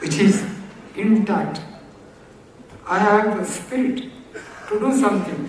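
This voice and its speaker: Speech comes at a fairly slow pace amid noticeable background noise. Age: 80s+. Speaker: author of an autobiography. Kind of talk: speech at a book release.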